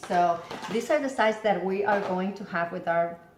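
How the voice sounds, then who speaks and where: A fairly low-pitched woman amid noticeable background noise and audible room echo. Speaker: home cooking video host. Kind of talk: cooking tutorial. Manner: casual with frequent fillers.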